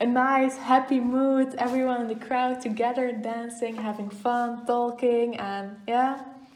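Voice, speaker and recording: A high-pitched woman speaks fairly slowly in a Flemish accent, with hardly any pauses and flat, monotone intonation. Audible room echo and noticeable background noise surround her voice. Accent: Flemish Dutch accent in English. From Belgium, East Flanders (Oudenaarde). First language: Dutch (Flemish). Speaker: goldsmith and distiller. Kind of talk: casual interview chat. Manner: hesitant, many fillers.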